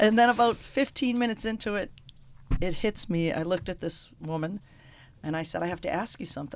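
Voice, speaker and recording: With a strong Boston accent, a woman of medium pitch speaks in a very clean recording over a silent background. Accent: strong Boston North End. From Boston, North End. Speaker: restaurant owner, former hairdresser. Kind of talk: storytelling in radio interview. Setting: radio studio.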